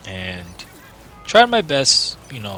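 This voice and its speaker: A man speaks in a calm tone. Noticeable background noise sits behind him. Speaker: gaming video creator. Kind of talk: game review commentary. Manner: deliberately calm and low; hesitant, searching for words.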